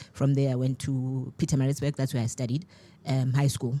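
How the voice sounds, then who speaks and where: A woman with a very deep, low pitch is heard on a very clean recording against a silent background. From South Africa, Eastern Cape. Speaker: TV and radio producer. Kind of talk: radio interview. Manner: animated.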